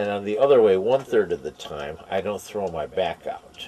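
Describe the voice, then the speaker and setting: Talking at a fairly slow pace, a man has a dark, mellow tone, a fairly low pitch and ordinary pitch variation. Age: 60s. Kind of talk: interview answer. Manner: rambling, hesitant.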